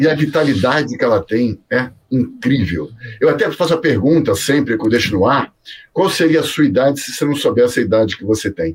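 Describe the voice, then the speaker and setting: The man's voice is somewhat breathy. He keeps a fairly quick pace and lively intonation. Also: medium pitch for a man. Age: 50s. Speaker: career mentor. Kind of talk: interview. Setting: video call.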